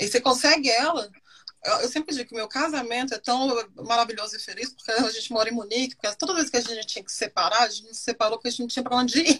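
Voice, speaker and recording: Her pace is very fast and her pitch high. The woman's loudness swings in big ways. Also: ordinary pitch variation. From Brasília, Brazil. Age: 30s. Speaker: expat guest, digital marketer. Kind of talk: casual interview chat.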